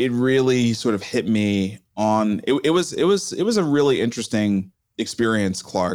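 This man has an unremarkable speaking voice at a medium pitch, moving at a moderate pace. His intonation is lively and his loudness stays very even. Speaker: entrepreneur and author. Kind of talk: interview conversation.

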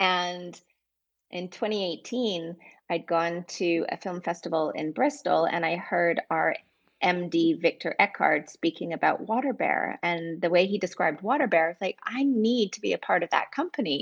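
Over a quiet background, a normal speaking voice moves at a moderate pace with lively intonation. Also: woman, fairly low pitch for a woman. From Vancouver, Canada. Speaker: film producer at a streaming platform. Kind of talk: interview.

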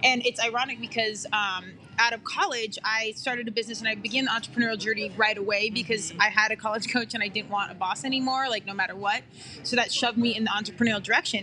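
The speech runs at a very fast pace with music in the background. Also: woman, fairly high pitch for a woman, fairly even intonation. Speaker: podcast host. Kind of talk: casual chat. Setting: coffee shop, live.

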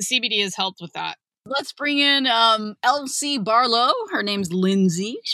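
A woman speaks in a normal speaking voice at a fairly slow pace. Her pitch is fairly high with ordinary variation, and the sound is dry and close with no echo. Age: 40s. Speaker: podcast host and author. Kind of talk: casual chat.

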